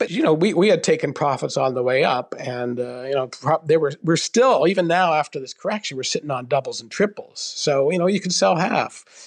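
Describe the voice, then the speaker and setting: A man with a plain, everyday voice at a fairly high pitch, fairly quick and with hardly any pauses, with lively intonation. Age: 60s. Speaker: personal finance columnist. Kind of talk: interview. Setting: remote call.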